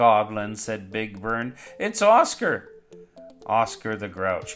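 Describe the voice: Someone reads the text aloud plainly.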